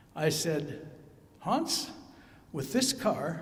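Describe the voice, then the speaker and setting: A high-pitched man is heard with audible room echo and noticeable background noise. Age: 80s+. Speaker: eulogy speaker, friend of the deceased. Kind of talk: eulogy.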